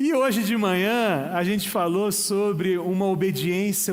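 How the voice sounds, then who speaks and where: A man speaking very slowly with ordinary pitch variation, in audible room echo. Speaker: pastor. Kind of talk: sermon. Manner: casual, joking.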